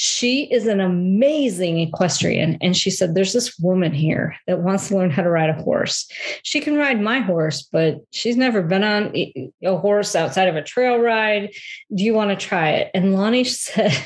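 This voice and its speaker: Her voice somewhat breathy, a woman talks at a moderate pace with lively intonation and very even loudness. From US Midwest, Metro Detroit. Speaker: health and transition coach. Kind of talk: casual interview.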